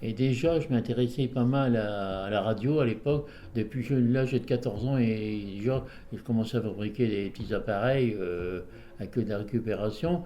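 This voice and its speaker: Over audible room echo, a man with a dark, mellow tone talks at a moderate pace and medium pitch, with ordinary pitch variation. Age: 80s+. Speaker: amateur radio operator. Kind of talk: interview. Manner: halting.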